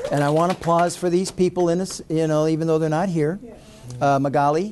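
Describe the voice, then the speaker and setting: A man's fairly high voice at a fairly quick pace, with very even loudness and fairly even intonation, over noticeable background noise. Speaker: university admissions executive, ceremony host. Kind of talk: ceremony speech. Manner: talkative.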